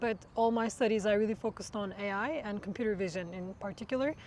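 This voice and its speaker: A woman talks at a very fast pace with a medium pitch. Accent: Turkish. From Turkey. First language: Turkish. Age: 20s. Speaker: machine learning researcher. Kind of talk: interview. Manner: hesitant with many fillers.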